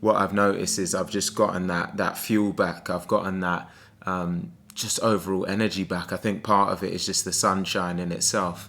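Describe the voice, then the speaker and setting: A man's very deep, low voice, bright and sharp in tone, monotone and flat, at a moderate pace. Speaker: sales coach. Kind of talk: motivational vlog. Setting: abroad indoors, early morning. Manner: soft-spoken.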